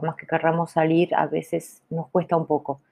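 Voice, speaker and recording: This is a woman speaking at a fairly low pitch. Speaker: podcaster who stutters. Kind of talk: casual monologue.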